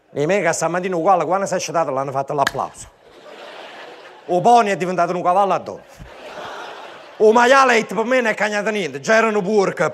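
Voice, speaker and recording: A man with a high pitch talks very fast in an energetic tone, with ordinary pitch variation. He takes long, frequent pauses over noticeable background noise. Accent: Neapolitan. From Naples. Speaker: stand-up comedian. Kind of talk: live stand-up comedy show. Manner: energetic, satirical.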